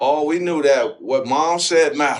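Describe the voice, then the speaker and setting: A man with an American accent speaks at a moderate pace in a fairly high pitch with ordinary pitch variation, an ordinary speaking voice. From Detroit, Michigan. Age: 60s. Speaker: former professional basketball player. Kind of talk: interview answer.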